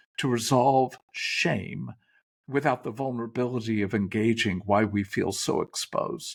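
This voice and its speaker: A man's vocal fry at a fairly slow pace. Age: 70s. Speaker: therapist and author. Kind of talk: interview conversation. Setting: video call. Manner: halting, with many fillers and self-corrections.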